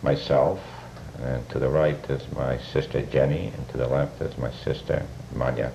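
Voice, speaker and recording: A man speaks in a very deep, low pitch at a moderate pace. Noticeable background noise runs behind him. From Poland, Markowa. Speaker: Holocaust survivor. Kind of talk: testimony. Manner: halting.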